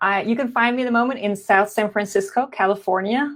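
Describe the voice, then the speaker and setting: With a slight non-native accent, a woman talks at a fairly quick pace and ordinary pitch variation. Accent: slight foreign. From Belgium, Flanders. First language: Dutch (Flemish). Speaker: entrepreneur and biotech professional. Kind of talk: interview. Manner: hesitant with fillers.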